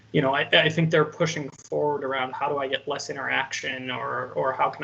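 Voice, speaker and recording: A man speaks at a fairly quick pace with noticeable background noise. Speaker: AI consultant panelist. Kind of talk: panel presentation. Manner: repetitive filler-heavy, stammering restarts; fast.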